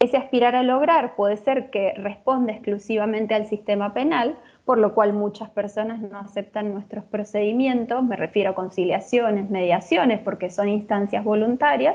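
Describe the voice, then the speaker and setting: A woman with an unremarkable speaking voice, fairly high in pitch, with ordinary pitch variation, a moderate pace and hardly any pauses. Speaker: lecturer. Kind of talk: lecture.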